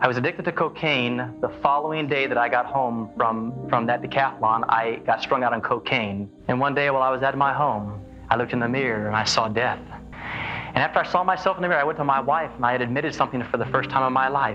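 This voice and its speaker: Talking at a very fast pace, a man uses ordinary pitch variation over clear background music. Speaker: guest. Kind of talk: interview answer. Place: studio.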